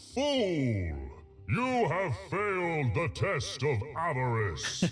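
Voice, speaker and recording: A booming, put-on character voice from a man, fairly high-pitched and very slow, with clear music in the background. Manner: commanding, admonishing.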